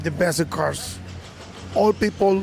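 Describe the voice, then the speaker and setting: Music plays in the background as a man speaks with a Spanish accent. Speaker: car audio competitor. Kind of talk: interview. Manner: halting.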